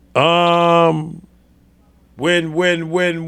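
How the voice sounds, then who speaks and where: Here is a man with a New York accent. His voice is high-pitched, with a bright, sharp tone. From New York City. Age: 60s. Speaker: sports podcast host. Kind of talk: casual chat. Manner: halting.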